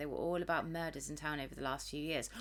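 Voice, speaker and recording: Fairly even intonation carries a bright, sharp tone throughout. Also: woman. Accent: British. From Britain. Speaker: video game streamer. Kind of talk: reading game text aloud during a let's play.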